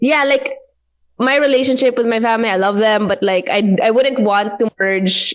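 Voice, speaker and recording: A woman talks with a Visayan Filipino accent. Her pace is fairly quick and her pitch variation ordinary. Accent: Filipino (Cebuano) English. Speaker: podcast guest. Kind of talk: casual chat.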